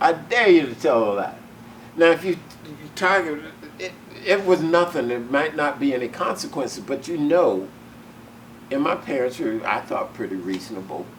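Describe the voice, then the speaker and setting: An American accent at a moderate pace carries very wide pitch swings and long, frequent pauses over noticeable background noise. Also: man, fairly high pitch for a man. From US South. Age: 70s. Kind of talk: oral history interview. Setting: museum. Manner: animated.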